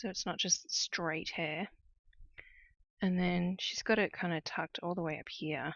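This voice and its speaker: A woman with an Australian accent, fairly low in pitch, at a fairly slow pace with fairly even intonation and long, frequent pauses. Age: 30s. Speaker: cross-stitch designer and streamer. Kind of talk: casual livestream chat while crafting.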